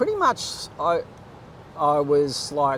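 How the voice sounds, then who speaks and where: This man speaks at a fairly high pitch with an Australian accent. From Australia, Queensland (Gold Coast). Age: 50s. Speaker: bodyboarder. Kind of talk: casual interview. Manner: halting, filler-heavy.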